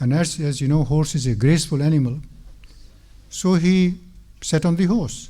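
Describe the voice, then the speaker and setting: The man's voice is fairly high with a dark, mellow tone. He speaks at a moderate pace with ordinary pitch variation. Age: 70s. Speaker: mosque speaker. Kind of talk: religious talk.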